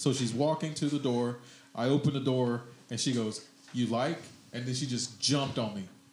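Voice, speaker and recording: The man has a plain, everyday voice at a medium pitch. He keeps a fairly even intonation at a moderate pace. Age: 40s. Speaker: comedian and podcast host. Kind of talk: casual chat. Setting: studio.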